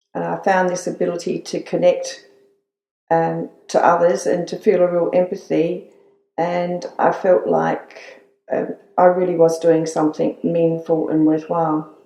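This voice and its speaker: Speaking at a fairly slow pace, a woman talks with an Australian accent. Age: 60s. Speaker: retired nurse. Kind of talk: interview. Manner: halting.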